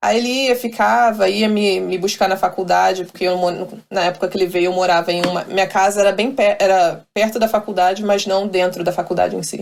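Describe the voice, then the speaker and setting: A woman's medium-pitched voice, fairly quick with fairly even intonation and hardly any pauses. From Brazil. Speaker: professional volleyball player. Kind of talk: interview. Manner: halting.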